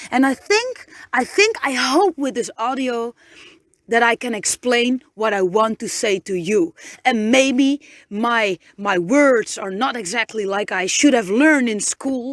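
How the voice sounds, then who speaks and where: A woman's high-pitched voice with lively intonation at a fairly slow pace, in a dry, close sound with no echo. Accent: Dutch. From Netherlands. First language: Dutch. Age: 30s. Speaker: podcaster. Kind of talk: inspirational pep talk. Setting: inside a van. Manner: halting, many repetitions and fillers.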